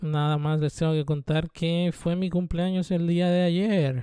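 A man's fairly high voice with a Mexican accent, at a very slow pace in a monotone, flat delivery. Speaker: vlogger. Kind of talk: casual monologue.

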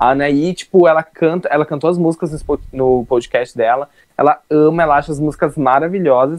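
At a fairly quick pace, a man with a plain, everyday voice talks in a fairly high pitch with fairly even intonation. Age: 20s. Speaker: youtuber, podcast co-host. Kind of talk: casual chat.

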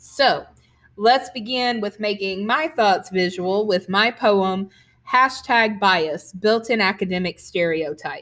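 A woman with a Southern US accent at a medium pitch and a very slow pace, with ordinary pitch variation, on a very clean recording with a silent background. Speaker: podcast host and poet. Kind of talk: podcast introduction; poetry reading.

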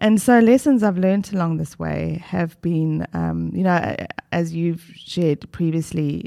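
With a very deep, low pitch, a woman speaks in a dark, mellow tone. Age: 50s. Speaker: retired doctor turned life coach. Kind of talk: casual chat.

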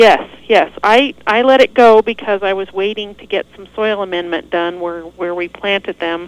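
A woman's medium pitch in a normal speaking voice with an American accent, moderate pace, ordinary pitch variation, big swings in loudness, and a dry, close sound with no echo. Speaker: horticulture specialist. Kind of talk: casual radio chat. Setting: phone call.

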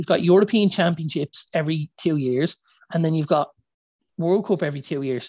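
With an Irish accent, a man talks at a high pitch and a fairly quick pace, with ordinary pitch variation and a dry, close sound with no echo. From Ireland. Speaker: football podcast co-host. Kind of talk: casual chat.

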